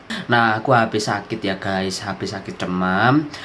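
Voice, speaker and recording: A man talks at a moderate tempo while noticeable noise runs in the background. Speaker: science educator YouTuber. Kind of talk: educational tutorial. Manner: casual, chatty.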